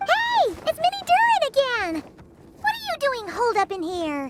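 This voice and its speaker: Squeaky and extremely high-pitched, this put-on character voice moves at a moderate pace. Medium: video game. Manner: excitable.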